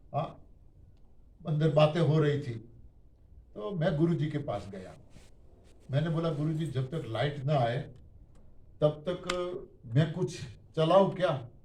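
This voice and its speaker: A man's somewhat breathy voice with a dark, mellow tone, ordinary pitch variation and long, frequent pauses. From Gujarat, India. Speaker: diet system speaker. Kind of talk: testimony. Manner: animated.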